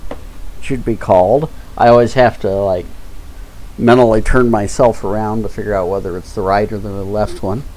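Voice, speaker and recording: A fairly low-pitched man at a moderate pace, with audible room echo. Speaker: live-streamer doing 3D modeling. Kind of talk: live-stream tutorial. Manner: halting, pauses mid-sentence. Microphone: mic sometimes drops quiet speech.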